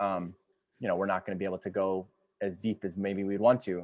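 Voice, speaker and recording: His pitch sits fairly low for a man. He talks at a fairly quick pace. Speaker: storyteller and educator. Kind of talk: workshop lecture. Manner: fast; halting, many fillers.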